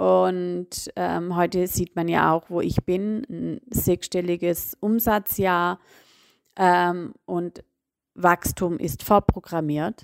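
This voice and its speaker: A woman speaks very slowly in a fairly low voice with fairly even intonation. The sound is dry and close with no echo, and the recording is very clean over a silent background. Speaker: business coach. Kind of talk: solo podcast monologue. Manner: many filler sounds.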